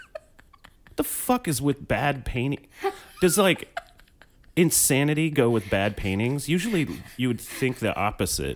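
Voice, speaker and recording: Here a man has a normal speaking voice with a fairly high pitch. His intonation is lively and his pace fairly slow. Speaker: podcast co-host. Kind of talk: casual comedic chat.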